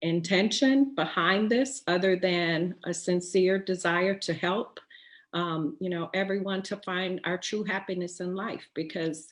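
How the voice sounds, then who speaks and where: A woman with an American accent talks at a very slow pace. Her voice is medium in pitch, with ordinary pitch variation. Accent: slight Texas accent, comes through at times. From Texas. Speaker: writer and poet, webinar host. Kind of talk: inspirational webinar talk. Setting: online webinar. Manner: hesitant, many fillers.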